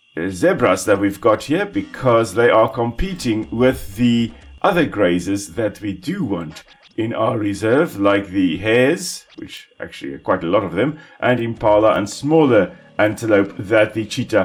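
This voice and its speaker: A man with a South African accent speaks at a moderate pace in a fairly low pitch, his intonation lively, with music playing in the background. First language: Afrikaans. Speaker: ecologist gaming commentator. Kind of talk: gameplay commentary. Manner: casual, relaxed.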